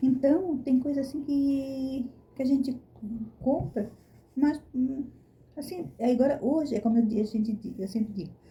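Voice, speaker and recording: At a moderate pace with long, frequent pauses, a woman speaks at a high pitch in a dark, mellow tone, with ordinary pitch variation. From Brazil. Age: 60s. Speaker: vlogger. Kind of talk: casual chat.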